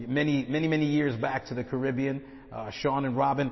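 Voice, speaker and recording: An unremarkable speaking voice with an American accent, fairly quick pace and fairly even intonation. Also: man. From Brooklyn, New York. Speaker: guest preacher, missionary. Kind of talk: sermon.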